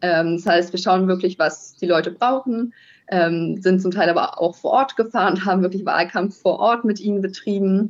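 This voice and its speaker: A woman with an ordinary speaking voice, medium in pitch, at a moderate pace with very even loudness and fairly even intonation. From northern Germany, near Kiel. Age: 20s. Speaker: master's student. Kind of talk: interview. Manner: many filler sounds (ähm, äh).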